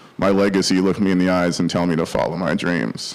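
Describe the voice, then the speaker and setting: A man with an American accent speaks at a fairly quick clip. His pitch is very deep and low, and background noise is noticeable. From Minnesota, US (Bloomington). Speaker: stand-up comedian. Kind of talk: stand-up.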